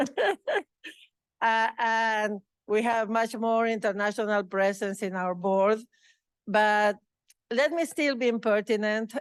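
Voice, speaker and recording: Over a quiet background, a woman with a Spanish accent speaks very slowly. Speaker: award recipient, researcher. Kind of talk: acceptance speech. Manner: halting.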